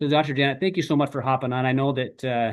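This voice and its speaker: Fairly even intonation marks this man's voice, set at a medium pitch. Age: 50s. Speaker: chiropractor and wellness presenter. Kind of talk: online presentation. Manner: halting.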